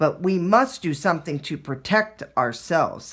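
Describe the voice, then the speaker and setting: Growling in a put-on character voice, the speaker holds a middle pitch at a moderate pace. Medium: read story.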